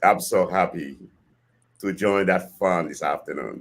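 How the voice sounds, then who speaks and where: A man is speaking. He has a Haitian accent. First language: Haitian Creole or French. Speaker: podcast guest, host's father. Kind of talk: casual chat. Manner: halting.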